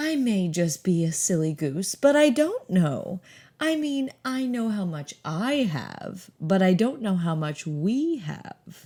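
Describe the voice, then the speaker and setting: A woman's put-on character voice at medium pitch, with very wide pitch swings, a fairly slow pace, and a very clean recording against a silent background. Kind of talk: comic melodrama. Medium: read story. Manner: affected, cloying endearments.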